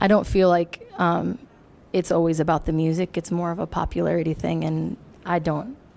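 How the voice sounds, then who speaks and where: Noticeable noise sits behind the speaker. A woman talks at a moderate pace. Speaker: singer-songwriter. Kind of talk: radio interview.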